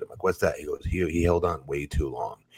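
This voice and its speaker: A very deep, low-pitched man talks at a fairly quick pace, somewhat breathy, with fairly even intonation. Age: 40s. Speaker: former pro wrestler, podcast co-host. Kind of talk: casual chat.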